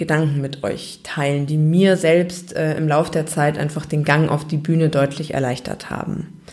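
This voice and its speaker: At a moderate pace, a woman with a normal speaking voice talks in a fairly low pitch. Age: 20s. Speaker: podcast host. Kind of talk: solo podcast monologue.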